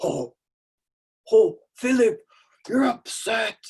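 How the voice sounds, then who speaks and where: A cartoonish character voice, high in pitch, with very wide pitch swings. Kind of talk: cartoon character. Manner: gentle, soothing.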